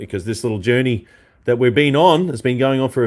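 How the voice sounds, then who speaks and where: A man with an Australian accent, medium pitch, on a very clean recording with a silent background. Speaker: guitarist and online show host. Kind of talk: live stream chat.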